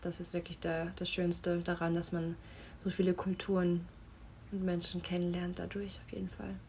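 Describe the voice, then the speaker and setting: Here a woman speaks at a fairly low pitch. Her voice is somewhat breathy. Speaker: model and actress. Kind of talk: casual chat via voice notes.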